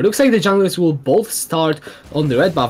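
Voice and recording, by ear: A man speaks with lively intonation. His tone is slightly mellow.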